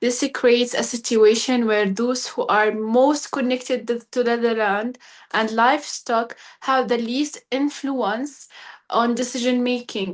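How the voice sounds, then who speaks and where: In a quiet setting, a woman with an Arabic accent speaks fairly slowly at a high pitch with fairly even intonation. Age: 20s. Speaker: young pastoralist advocate. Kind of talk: webinar talk. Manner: halting.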